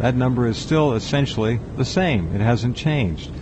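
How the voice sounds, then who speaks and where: Background music can be heard. Over it, a man talks at a fairly slow pace. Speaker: radio talk show host. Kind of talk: radio talk show hosting.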